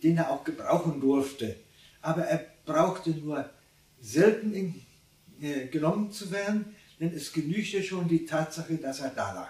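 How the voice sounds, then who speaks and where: With audible room echo, a man talks at a fairly slow pace, pausing long and often, his pitch varying in an ordinary way. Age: 80s+. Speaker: contemporary witness; witness. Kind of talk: interview. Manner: halting. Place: home room.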